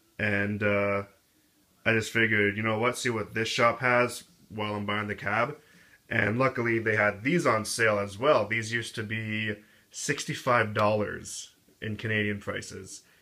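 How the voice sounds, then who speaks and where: Mumbling at a moderate pace, a man with a fairly low pitch has a bright, sharp tone and fairly even intonation. The recording is very clean with a silent background. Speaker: skateboard hobbyist reviewer. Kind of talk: casual product review.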